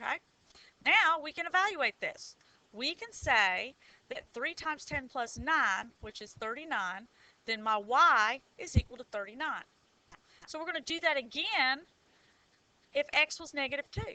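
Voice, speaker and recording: A woman with a Southern US accent speaks in a raised, projected voice at a high pitch and a moderate pace. Her pitch swings very widely, her loudness varies greatly, and she pauses long and often. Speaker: high school math teacher. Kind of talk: tutorial. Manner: animated.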